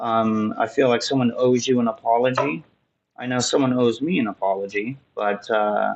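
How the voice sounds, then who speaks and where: A man talks at a moderate pace in a medium pitch with ordinary pitch variation. He has an unremarkable speaking voice. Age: 30s. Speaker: tarot reader. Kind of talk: tarot reading. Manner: casual, with many fillers.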